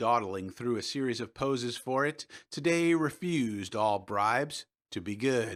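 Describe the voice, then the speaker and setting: The recording is very clean, its background silent. In it, a man's pitch swings very widely. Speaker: audiobook narrator. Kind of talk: audiobook fiction reading.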